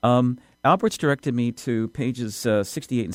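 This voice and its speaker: A man at a fairly quick pace, dry and close with no echo, on a very clean recording with a silent background. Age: 60s. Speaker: radio host. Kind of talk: radio interview. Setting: studio. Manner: halting.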